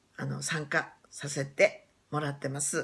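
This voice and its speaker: A woman speaks with vocal fry. Her pace is very slow. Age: 60s. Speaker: YouTuber; new channel host introducing herself. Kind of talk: casual chat; casual vlog chat. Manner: halting. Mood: cheerful, warm. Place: home room. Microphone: phone near.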